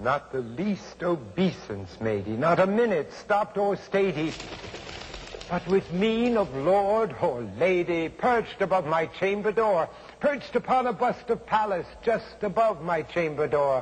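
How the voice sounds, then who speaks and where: A fairly slow pace and very wide pitch swings, with noticeable background noise. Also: man, high pitch for a man. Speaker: actor. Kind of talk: dramatic poetry reading.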